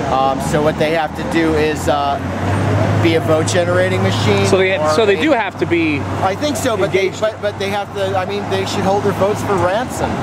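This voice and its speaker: A man at a fairly quick pace, dry sound with no echo, music in the background. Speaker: interviewee. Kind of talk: interview answer. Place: street.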